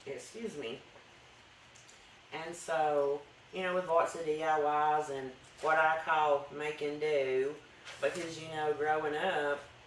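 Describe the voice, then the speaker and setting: A man with a strong Appalachian accent, fairly high pitch, monotone flat intonation, a very slow pace and long, frequent pauses, over noticeable background noise. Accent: thick country Southern mountain. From North Alabama mountains. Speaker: homesteading channel vlogger. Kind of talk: casual talk to camera. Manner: halting, many fillers and restarts.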